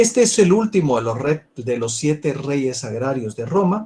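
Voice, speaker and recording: A man talks at a very slow pace with a fairly high pitch. His intonation is lively. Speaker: university law professor. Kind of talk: lecture.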